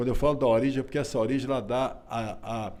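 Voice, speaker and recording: A man speaks at a fairly quick pace in a dark, mellow tone. Audible room echo surrounds his voice. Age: 60s. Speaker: author. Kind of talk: interview. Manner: halting.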